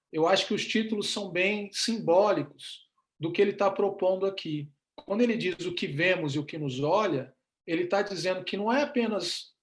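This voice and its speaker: This man has a high pitch with ordinary pitch variation. He talks at a moderate pace. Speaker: professor and photographer giving a talk. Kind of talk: lecture. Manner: hesitant, many fillers.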